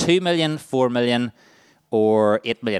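A man with a Northern Irish accent at a medium pitch and moderate pace, with ordinary pitch variation and a dry, close sound with no echo. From Northern Ireland, County Armagh. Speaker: charity staff workshop leader. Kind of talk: workshop presentation. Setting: stage with audience.

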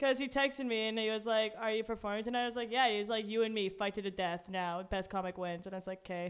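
A woman with a Canadian accent at a very fast pace, fairly even intonation and hardly any pauses. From Kitchener-Waterloo, Ontario, Canada. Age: young. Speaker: student guest. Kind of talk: casual chat.

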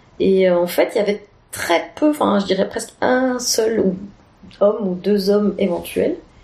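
Fairly slowly, a woman speaks at medium pitch with ordinary pitch variation. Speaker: improv performer. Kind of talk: casual interview.

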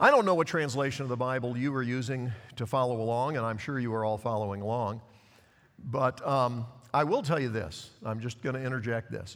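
This man has a plain, everyday voice at medium pitch. He talks at a fairly quick pace with ordinary pitch variation. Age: 60s. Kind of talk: sermon. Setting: church with congregation.

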